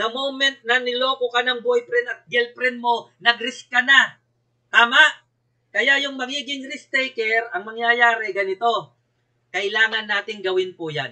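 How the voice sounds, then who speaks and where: A man's raised, projected voice at an extremely high pitch, fairly slow in pace. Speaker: company speaker. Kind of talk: sales pitch. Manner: blunt, direct; emphatic.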